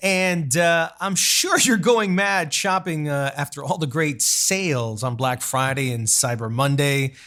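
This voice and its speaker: A man talks fairly slowly while noticeable background noise is heard. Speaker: podcast host, TV host, journalist, film critic. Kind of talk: podcast intro, casual talk.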